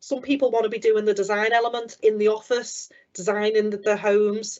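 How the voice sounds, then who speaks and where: Talking at a fairly quick pace, a woman speaks with a Liverpool accent. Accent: Liverpool (Scouse). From Liverpool area, England. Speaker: business development manager. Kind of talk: careers talk. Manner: fast.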